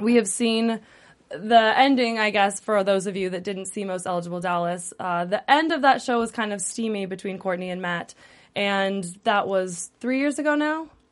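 Speaking at a moderate pace over a quiet background, a woman with an ordinary speaking voice holds a medium pitch with ordinary pitch variation. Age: late 20s. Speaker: entertainment show host. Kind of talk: casual chat. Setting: studio.

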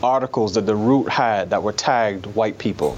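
With an American accent, the man talks while noticeable background noise carries on behind him. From New York City. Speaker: newspaper columnist. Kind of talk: interview.

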